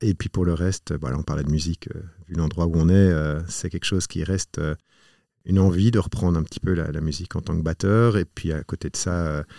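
Very deep and low, this man's voice has a dark, mellow tone and moves at a fairly quick pace. The sound is dry and close with no echo, on a very clean recording with a silent background. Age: 40s. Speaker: entrepreneur. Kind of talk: interview. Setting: studio. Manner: halting, repeats words.

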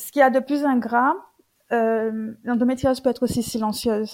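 Talking at a fairly quick pace, a woman uses a normal speaking voice with fairly even intonation. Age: 30s. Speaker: social worker sharing her endometriosis story. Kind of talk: testimony.

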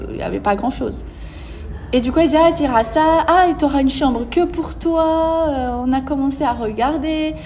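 A woman with a slight Brazilian accent speaks in an animated tone at a high pitch. Noticeable background noise and audible room echo are present. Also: ordinary pitch variation, moderate pace. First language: Portuguese (speaking French). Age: 20s. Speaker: entrepreneur. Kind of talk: interview.

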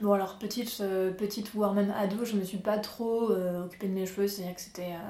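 Amid audible room echo and noticeable background noise, a woman of medium pitch speaks in a monotone, flat intonation. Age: 20s. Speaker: interview guest, artist. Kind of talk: casual interview, personal story.

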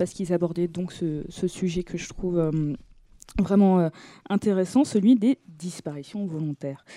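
Her tone is dark and mellow. The woman speaks at a moderate pace with ordinary pitch variation. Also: dry, close sound with no echo. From Brittany, France (Brest). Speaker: podcast host. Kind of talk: casual chat. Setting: studio.

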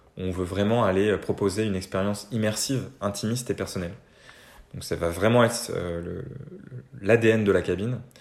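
Delivery comes at a moderate pace with fairly even intonation. Long, frequent pauses break it up. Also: man, fairly low pitch for a man. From Normandy, France. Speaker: freelance consultant and musician. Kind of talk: interview conversation.

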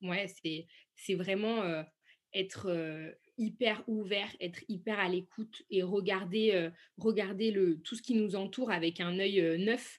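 At a very slow pace with long, frequent pauses, a woman speaks at a medium pitch with fairly even intonation. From France, Saint-Étienne. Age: 20s. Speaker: entrepreneur and export product manager. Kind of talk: interview.

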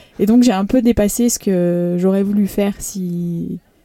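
Her voice is a normal speaking voice, a woman's at medium pitch. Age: 30s. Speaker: professional triathlete. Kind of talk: interview. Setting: on location at the race.

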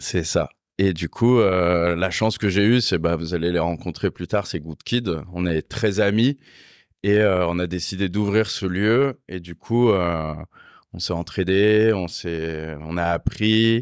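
A man speaks at a very slow pace with a very deep, low pitch and ordinary pitch variation. The recording is very clean, with a silent background and a dry, close sound with no echo. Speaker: motorcycle workshop owner. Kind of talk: casual chat. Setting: motorcycle garage workshop.

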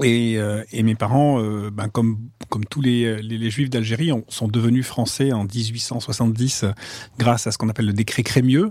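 A man talks at a medium pitch. His pace is fairly slow. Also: fairly even intonation. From France, Marseille. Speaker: finance executive and novelist. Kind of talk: interview conversation. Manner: hesitant, many repetitions.

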